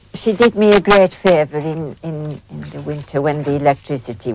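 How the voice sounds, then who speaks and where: A woman's very deep, low voice in a Yorkshire accent, at a fairly slow pace. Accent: Yorkshire Dales. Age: 60s. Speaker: farmer. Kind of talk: documentary interview. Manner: halting.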